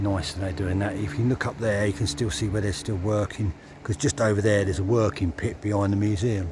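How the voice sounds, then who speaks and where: Over noticeable background noise, a man rattles along at a very fast pace in a fairly low pitch. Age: 60s. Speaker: cycling vlogger. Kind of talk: casual vlog narration. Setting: outdoors on a bike. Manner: relaxed, conversational.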